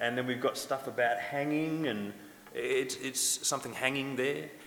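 A man speaks in an Australian accent at a moderate pace. His pitch is fairly high. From Western Australia, Noongar. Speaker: academic and musician, language revitalization.

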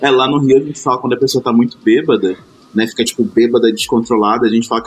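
This man speaks with a Carioca accent at a medium pitch. His pace is very fast and his intonation fairly even. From Rio de Janeiro, Baixada Fluminense (Caxias). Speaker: podcast panelist. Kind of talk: casual chat.

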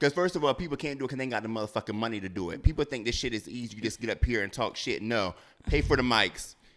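The recording is very clean and the background silent. A man speaks very fast, his pitch varying in an ordinary way. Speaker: podcast host. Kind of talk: casual chat.

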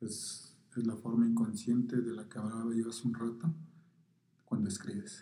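Audible room echo surrounds a man of medium pitch who talks at a moderate pace with ordinary pitch variation and long, frequent pauses. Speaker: poet. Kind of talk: interview through an interpreter. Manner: halting, many fillers.

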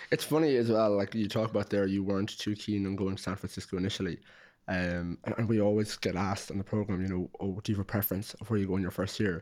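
A man with an Irish accent talks very fast in fairly even intonation, on a very clean recording with a silent background. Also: fairly low pitch for a man. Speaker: podcast host. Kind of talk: interview, casual chat.

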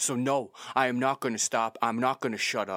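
No echo is present, and the sound is dry and close. The voice has a bright, sharp tone. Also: man, very clean recording, silent background. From Canada. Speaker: podcast host. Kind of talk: opinion monologue.

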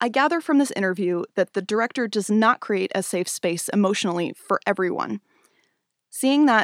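A woman with a normal speaking voice and an American accent talks at a moderate pace in a medium pitch with ordinary pitch variation, in a very clean, dry, close recording with no echo and a silent background. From US Pacific Northwest (Spokane, Washington). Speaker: podcast host and dancer. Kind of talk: scripted monologue. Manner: measured, read-aloud delivery.

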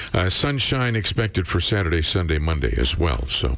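Lively intonation from a man at a moderate pace, with noticeable background noise. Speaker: radio host. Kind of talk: morning radio show. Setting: studio.

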